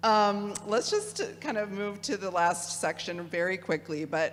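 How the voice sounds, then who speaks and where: Over noticeable background noise, a woman with a Midwestern accent speaks fairly slowly with ordinary pitch variation. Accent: Midwest. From Michigan, US Midwest. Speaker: theology speaker. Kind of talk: lecture with audience discussion.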